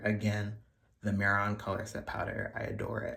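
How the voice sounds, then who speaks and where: The voice has a playful tone. It moves at a moderate pace. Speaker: beauty vlogger. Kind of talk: makeup tutorial. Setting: bathroom. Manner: casual, playful.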